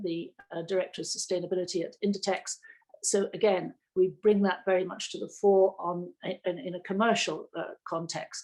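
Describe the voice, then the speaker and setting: In a New Zealand accent, a woman speaks at a medium pitch and a moderate pace with fairly even intonation. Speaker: sustainability director. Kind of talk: panel discussion. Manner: halting.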